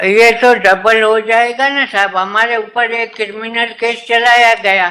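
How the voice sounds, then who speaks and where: Using a raised, projected voice, a man with an extremely high pitch speaks in monotone, flat intonation. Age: 80s+. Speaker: retired employee arguing own case in court. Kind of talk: court hearing argument.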